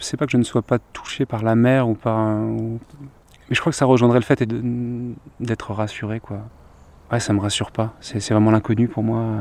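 The man talks at a medium pitch in a monotone, flat delivery with a calm tone. He leaves long, frequent pauses. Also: moderate pace. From Paris region, Seine-Saint-Denis. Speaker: singer-songwriter. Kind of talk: casual chat. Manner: calm, contemplative; halting.

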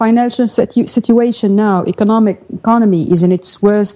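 A woman speaks at a medium pitch with an Arabic accent. Her tone is dark and mellow, with ordinary pitch variation. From Syria (Daraa region). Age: 30s. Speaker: journalist and editor. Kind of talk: live radio interview. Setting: remote live link from Damascus.

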